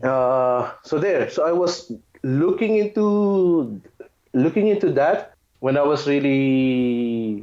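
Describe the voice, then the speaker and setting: Speaking at a very slow pace, a man with a fairly high pitch uses lively intonation and very even loudness. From Philippines. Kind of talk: interview answer.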